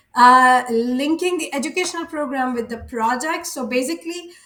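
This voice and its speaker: A woman with a high pitch speaks at a fairly slow pace, using ordinary pitch variation. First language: not English or French. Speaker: early childhood education student. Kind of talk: class presentation. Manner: halting, many filler sounds.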